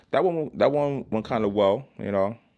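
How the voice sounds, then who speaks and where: A man speaks with a New York accent. The background is quiet. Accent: New York City English. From Brooklyn, New York City. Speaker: YouTube creator. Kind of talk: casual vlog monologue. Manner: halting, repetitive.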